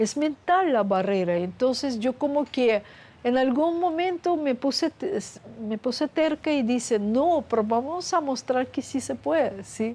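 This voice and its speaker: A woman talks in a Russian accent with a high pitch and a dark, mellow tone. Her pace is fairly slow and her intonation lively. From Russia (Soviet Union). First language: Russian (speaking Spanish). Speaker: scientist. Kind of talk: interview.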